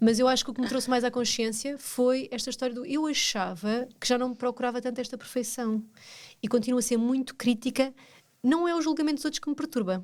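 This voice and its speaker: This woman speaks in a European Portuguese accent at a high pitch and a fairly quick pace. Her pitch varies in an ordinary way, and the recording is very clean with a silent background. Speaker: podcast co-host. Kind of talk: casual chat.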